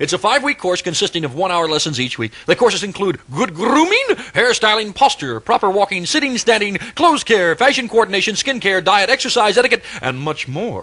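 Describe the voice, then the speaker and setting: A man speaks in a raised, projected voice, high in pitch and at a fairly quick pace, with very wide pitch swings. Noticeable background noise sits behind him. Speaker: radio DJ. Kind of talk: live radio commercial read. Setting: AM radio broadcast. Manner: fast.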